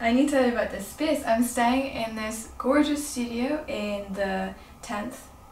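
A woman talks at a moderate pace with high pitch and ordinary pitch variation. There is audible room echo and light background noise. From Northern Ireland. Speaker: lifestyle vlogger. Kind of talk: casual vlog narration. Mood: relaxed, cheerful. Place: home room. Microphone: phone near.

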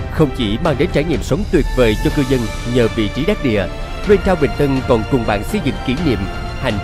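A man's voice rises and falls in very wide pitch swings at a moderate pace, with music playing behind him. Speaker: voice actor. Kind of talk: TV commercial read.

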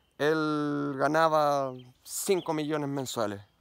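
Against a quiet background, a man with a Chilean accent speaks at a very slow pace in a fairly high pitch. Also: dry sound with no echo. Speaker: mountain bike YouTuber. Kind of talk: personal vlog monologue. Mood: earnest, reflective. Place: forest. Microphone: phone near.

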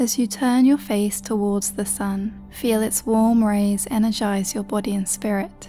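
Over background music, a woman of medium pitch talks at a fairly slow pace with fairly even intonation and hardly any pauses. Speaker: meditation guide. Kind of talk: guided meditation. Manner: slow, soft-spoken.

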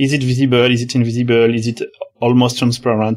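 The speaker is a man. He has a French accent. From France. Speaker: software developer, author of a 3D web engine. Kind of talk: technical interview.

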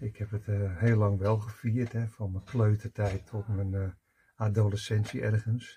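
In a fairly low, somewhat breathy voice with a dark, mellow tone, a man speaks at a moderate pace with fairly even intonation. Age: 60s. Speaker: personal development coach; coach or spiritual teacher. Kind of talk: personal video monologue. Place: home room.

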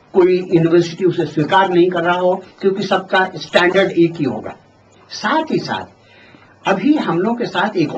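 Lively intonation at a fairly slow pace over light background noise. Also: man. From Bihar, India. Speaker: retired engineer and political party president; interviewee. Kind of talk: interview. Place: home room. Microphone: handheld.

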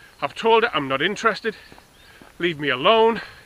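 Against light background noise, a man speaks at a moderate pace with ordinary pitch variation in a dry recording with no echo. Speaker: vlogger. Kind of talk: casual vlog chat, personal rant. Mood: exasperated, ranting. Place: open country. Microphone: phone near.

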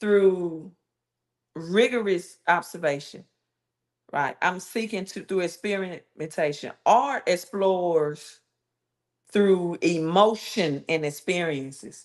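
Against a quiet background, a woman with a fairly low pitch and ordinary pitch variation speaks at a very slow pace with long, frequent pauses. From Mississippi. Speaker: YouTube live streamer on Bible and finance; YouTube live streamer on Bible. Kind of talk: live stream monologue. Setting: live stream. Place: home room. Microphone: earbuds.

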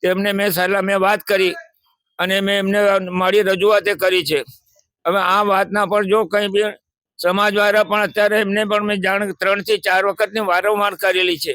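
A man's raised, projected voice at a high pitch, monotone and flat, with very even loudness, a bright, sharp tone, and a dry, close sound with no echo. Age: 80s+. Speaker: elderly man living in a shelter. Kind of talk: interview testimony.

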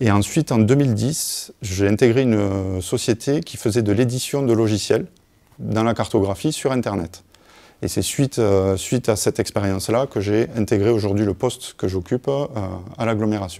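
Over a quiet background, the voice carries a dark, mellow tone, a moderate pace and ordinary pitch variation. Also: man, fairly low pitch for a man. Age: 30s. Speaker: GIS manager, former student. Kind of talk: testimony. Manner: halting, many hesitations. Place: hall.

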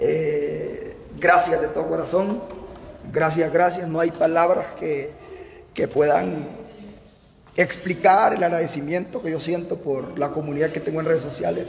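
Over light background noise, a man with a high pitch and ordinary pitch variation speaks at a fairly slow pace with long, frequent pauses. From Honduras, Olancho; Honduras. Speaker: TV news presenter; streamer saying farewell. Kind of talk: farewell livestream. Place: office. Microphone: phone near.

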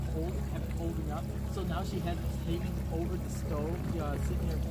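A man talks fairly quickly against heavy background noise. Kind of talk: casual conversation. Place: boat.

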